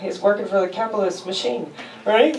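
A woman's tone is slightly mellow. Room echo can be heard.

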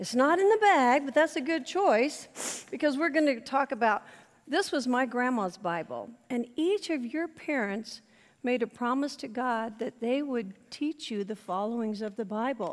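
A woman with a high pitch speaks at a fairly slow pace against a quiet background. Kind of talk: children's talk in church. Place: church.

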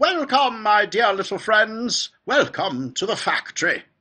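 A man puts on a character voice, pitched high and delivered fairly slowly. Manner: called out warmly, delighted.

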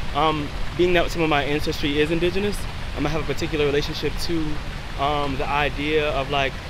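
Over noticeable background noise, a man speaks at a fairly quick pace in a dry recording with no echo. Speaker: interviewee. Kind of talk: interview answer. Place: street.

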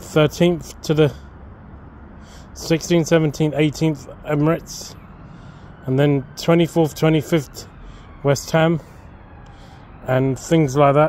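A man speaks at a very slow pace with long, frequent pauses, monotone, flat intonation and very even loudness, in a dry sound with no echo over light background noise. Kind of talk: casual vlog chat. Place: garden. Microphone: phone near.

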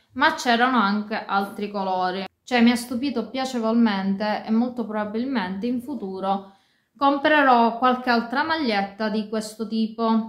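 Speaking at a fairly slow pace, a woman uses ordinary pitch variation, with audible room echo around her. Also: quiet background. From Sicily. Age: 30s. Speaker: fashion and beauty YouTuber. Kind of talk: casual talk to camera. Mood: disappointed complaint. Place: home room. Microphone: phone near.

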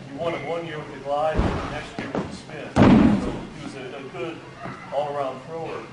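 A man at a fairly quick pace, with audible room echo and loud background noise. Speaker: seminar instructor. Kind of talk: lecture. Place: hall. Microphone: camera far.

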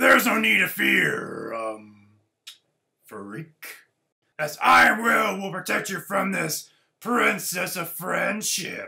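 Using a put-on character voice, a man speaks very slowly in a high, raspy voice with long, frequent pauses. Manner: cocky, joking.

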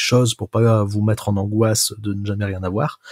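A man speaks fairly slowly at a fairly low pitch, somewhat breathy. The sound is dry and close, with no echo. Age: 20s. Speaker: software developer. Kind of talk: casual chat. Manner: hesitant, many fillers.

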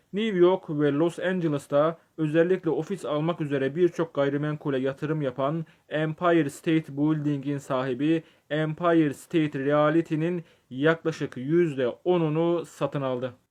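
A man with an unremarkable speaking voice talks at a fairly slow pace, his fairly high pitch held in fairly even intonation. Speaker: video essayist. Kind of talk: scripted narration.

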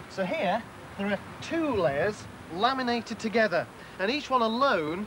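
Upbeat in tone, a man speaks with a British accent at a high pitch. Light background noise can be heard. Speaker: tv science presenter. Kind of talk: 1980s tv science presenter narration, demo. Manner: jokey, upbeat, conversational. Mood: light, humorous, upbeat. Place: open country. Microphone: lapel.

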